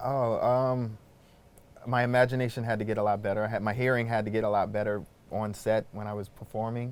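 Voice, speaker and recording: With a New York accent, a man speaks fairly quickly at a medium pitch in a flat, monotone delivery. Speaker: actor. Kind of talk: interview. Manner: fast; halting.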